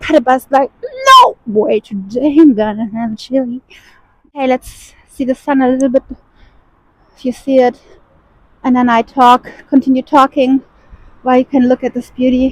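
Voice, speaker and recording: A woman with a non-native accent and a high voice speaks at a moderate pace in a monotone, flat intonation, leaving long, frequent pauses, in a dry, close sound with no echo. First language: not English. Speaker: spiritual vlogger. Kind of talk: casual vlog monologue. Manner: conversational, informal.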